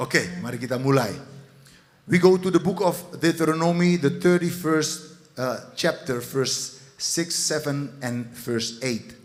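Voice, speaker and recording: Speaking very slowly, a man with a fairly high pitch and ordinary pitch variation is heard over noticeable background noise and audible room echo. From Netherlands. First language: Dutch (speaking Indonesian). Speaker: pastor. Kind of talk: sermon. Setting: church.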